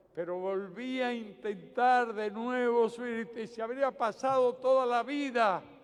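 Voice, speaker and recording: A man with a Cuban accent, extremely high-pitched, very slow, with ordinary pitch variation. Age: 70s. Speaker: political leader. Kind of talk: public political speech. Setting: outdoors.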